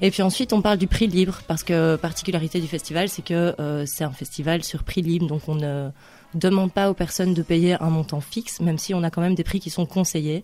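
A woman's voice is dark and mellow with a fairly low pitch. She keeps a fairly quick pace and fairly even intonation. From Liège, Belgium. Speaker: youth worker and market gardener, festival organiser. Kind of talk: casual radio interview.

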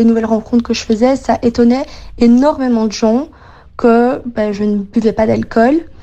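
Speaking at a fairly slow pace, a woman with fairly high pitch is heard over noticeable background noise. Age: 20s. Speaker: interviewee. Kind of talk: recorded testimony.

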